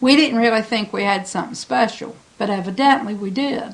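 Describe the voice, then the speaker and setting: Noticeable background noise sits behind a woman with an American accent speaking at a fairly high pitch. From Smith Island, Maryland (Chesapeake Bay). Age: 60s. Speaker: home baker. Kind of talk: interview monologue. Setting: at home.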